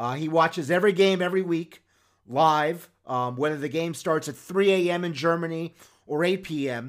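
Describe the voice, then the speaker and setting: An ordinary speaking voice with an American accent comes at a moderate pace with ordinary pitch variation. The recording is very clean, with a silent background. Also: man. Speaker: football scouting podcast host. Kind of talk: sports recap and analysis monologue. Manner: self-promoting, playful, confident.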